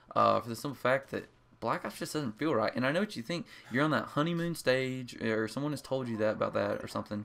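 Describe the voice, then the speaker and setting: At a very fast pace, a man with an American accent speaks at medium pitch with ordinary pitch variation. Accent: rural small-town. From rural US, small town. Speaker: gaming commentator. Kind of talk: gameplay commentary. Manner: casual, hesitant with many fillers.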